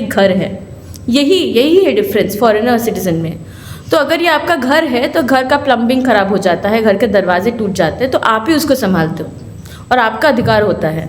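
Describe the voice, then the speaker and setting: Over noticeable background noise and audible room echo, a woman talks at a moderate pace with very wide pitch swings. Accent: Bengali. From Kolkata, West Bengal, India. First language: Bengali (speaking Hindi). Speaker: lawyer and human rights activist. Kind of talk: symposium speech.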